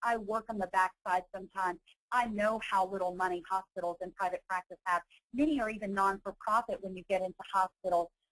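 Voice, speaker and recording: A woman with a Southern accent at a medium pitch and fairly quick pace, the sound dry and close with no echo. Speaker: nurse and healthcare consultant, webinar presenter. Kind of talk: webinar presentation. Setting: online webinar. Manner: fast.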